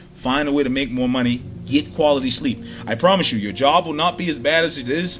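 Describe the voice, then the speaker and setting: Noticeable background noise surrounds a man's voice. His tone is animated and his pitch is medium. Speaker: social media vlogger. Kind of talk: motivational monologue. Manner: fast.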